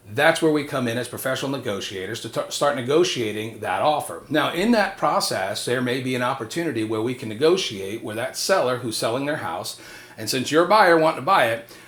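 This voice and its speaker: A man talks at a fairly quick pace with hardly any pauses and lively intonation, his pitch medium. Noticeable background noise and audible room echo fill the recording. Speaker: real estate agent. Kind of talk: tutorial. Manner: fast.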